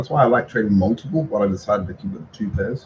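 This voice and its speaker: This man has a fairly low pitch. His voice is somewhat breathy. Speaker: trading content creator. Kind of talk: live trading recap tutorial. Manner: fast; casual, halting with fillers.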